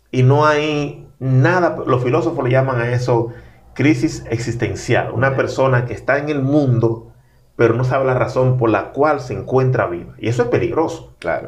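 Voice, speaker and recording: There is audible room echo as a man speaks at a medium pitch and a moderate pace with ordinary pitch variation. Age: 40s. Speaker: pastor and author. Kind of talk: interview conversation.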